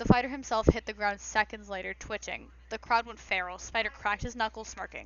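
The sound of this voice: The clip features an unforced reading voice.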